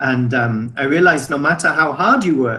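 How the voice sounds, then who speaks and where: Bright and sharp in tone, a man speaks at a fairly high pitch with an English accent. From England. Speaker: business owner. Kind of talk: testimony. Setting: video call.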